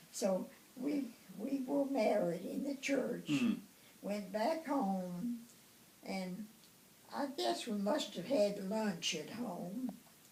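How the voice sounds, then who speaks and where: A woman with an American accent, a fairly high pitch, a dark, mellow tone, a somewhat breathy voice, lively intonation, a very slow pace and long, frequent pauses. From Tennessee, USA. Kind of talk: interview answer. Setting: home.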